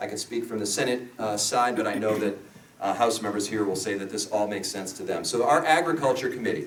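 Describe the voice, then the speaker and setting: Audible room echo surrounds a man speaking at a very fast pace, his medium pitch showing ordinary variation. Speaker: state senator. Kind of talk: keynote speech.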